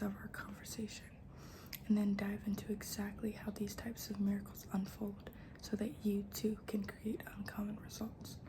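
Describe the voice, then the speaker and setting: A soft-spoken woman at medium pitch and moderate pace, monotone and flat in intonation, with noticeable background noise. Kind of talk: ASMR book reading.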